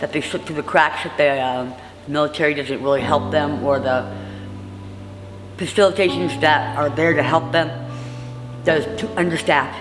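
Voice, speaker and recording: Against music in the background and audible room echo, a woman with a very deep, low pitch talks at a moderate pace, with ordinary pitch variation and long, frequent pauses. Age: 60s. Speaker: formerly homeless housing resident. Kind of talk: interview testimony. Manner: halting.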